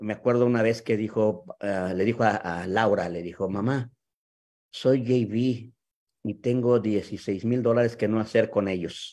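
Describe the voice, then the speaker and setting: With a Mexican accent, a man speaks fairly slowly in a dark, mellow tone with fairly even intonation and a quiet background. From Mexico City. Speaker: sales leader hosting a video talk. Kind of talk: live video talk. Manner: halting. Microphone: video call.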